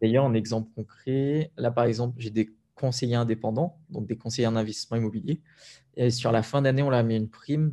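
A man's medium-pitched voice, dark and mellow in tone, with fairly even intonation and a fairly quick pace. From Réunion (Sainte-Anne). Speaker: entrepreneur and property investor. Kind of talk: interview.

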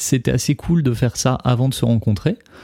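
In a very clean recording with a silent background, a man talks at a fairly quick pace. His tone is dark and mellow, with lively intonation. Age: 30s. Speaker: musician and songwriter. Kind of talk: casual chat. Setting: recording studio.

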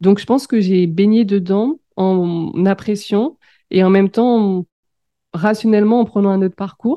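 This is an ordinary speaking voice, delivered fairly slowly with ordinary pitch variation and very even loudness. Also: woman, medium pitch for a woman. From France, Seine-et-Marne. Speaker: business coach. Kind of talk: interview.

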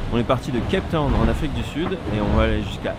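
A man rattles along at a very fast pace while audible room echo and noticeable background noise fill the space. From Brittany, France (Brest). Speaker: onboard media crew member on a racing yacht. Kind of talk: casual onboard audio diary. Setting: inside a racing sailboat at sea. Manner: swallows words.

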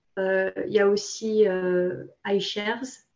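This woman's voice has a dark, mellow tone. Her pitch sits in the medium range. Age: 20s. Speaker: personal finance influencer. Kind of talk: interview. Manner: halting.

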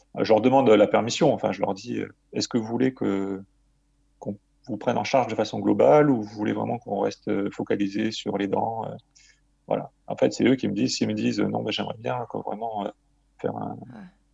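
A man talks at a fairly quick pace. His speech has long, frequent pauses. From Marseille, southern France. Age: 40s. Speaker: dental surgeon and author. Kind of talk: interview. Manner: hesitant with frequent fillers.

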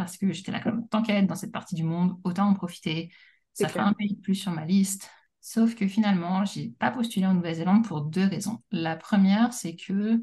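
Her voice is somewhat breathy, with a dark, mellow tone. The woman talks at a fairly quick pace with ordinary pitch variation. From France, Paris. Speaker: teacher and policy analyst. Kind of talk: casual interview.

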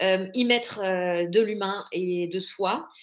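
A woman has an ordinary speaking voice at a medium pitch, with fairly even intonation. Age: 40s. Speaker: entrepreneur, platform founder. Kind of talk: interview.

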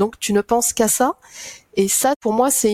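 A plain, everyday voice at a moderate pace with ordinary pitch variation. The sound is dry and close, with no echo. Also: woman. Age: 50s. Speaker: association director, mother sharing infertility story. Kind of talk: testimony.

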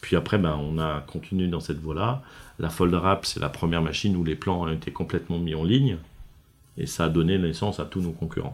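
Speaking at a fairly quick pace, a man has a very deep, low pitch. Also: ordinary pitch variation. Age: 50s. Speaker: company founder and president. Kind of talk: interview. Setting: factory. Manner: halting, many fillers.

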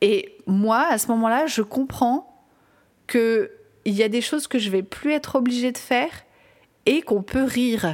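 On a very clean recording with a silent background, a woman with a high pitch speaks fairly slowly with lively intonation and long, frequent pauses. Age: 40s. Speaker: parenting coach and podcast host. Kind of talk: personal monologue podcast.

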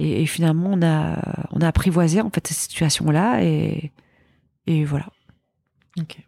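Speaking with long, frequent pauses, a woman has a very deep, low pitch and a dark, mellow tone. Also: ordinary pitch variation, fairly slow pace. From Belgium. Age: 40s. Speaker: entrepreneur. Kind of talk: casual chat.

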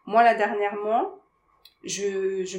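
Very slow delivery in a monotone, flat intonation. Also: woman. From Paris suburbs, France. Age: 30s. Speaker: life coach. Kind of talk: casual interview.

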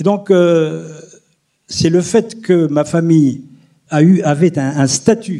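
A man's voice with a dark, mellow tone. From Algeria, near Algiers. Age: 70s. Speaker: historian. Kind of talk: testimony. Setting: stage with audience.

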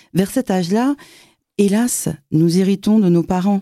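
A woman with a plain, everyday voice, lively intonation and a fairly slow pace, in dry, close sound with no echo. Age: 50s. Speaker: podcast host. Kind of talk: interview.

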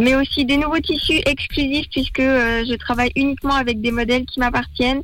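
Against noticeable background noise, a woman with a high voice talks at a fairly quick pace with fairly even intonation. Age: 20s. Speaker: small business founder. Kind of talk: radio interview.

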